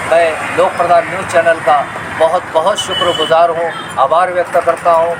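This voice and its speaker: A man speaks at a high pitch in a monotone, flat intonation. Background noise is noticeable. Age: 60s. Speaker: rickshaw driver on a cycling journey. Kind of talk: news interview.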